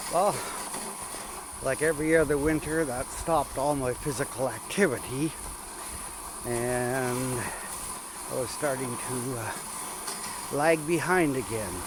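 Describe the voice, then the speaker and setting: Over noticeable background noise, a man with a relaxed tone and medium pitch talks at a fairly slow pace, with ordinary pitch variation and long, frequent pauses. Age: 70s. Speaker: vlogger on rural walks. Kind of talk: casual vlog narration while walking. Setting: outdoors in snowy woodlot. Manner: relaxed, with filler words.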